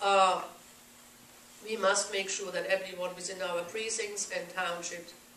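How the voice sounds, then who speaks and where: A woman speaks at a moderate pace and medium pitch with monotone, flat intonation. Noticeable background noise and audible room echo fill the recording. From Germany. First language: German. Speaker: political activist group president. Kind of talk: speech at a meeting.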